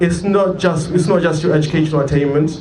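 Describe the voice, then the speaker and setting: A man at a fairly quick pace, with audible room echo and noticeable background noise. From Zimbabwe. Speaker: protest speaker, law student. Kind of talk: protest speech. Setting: outdoor protest rally. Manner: loud.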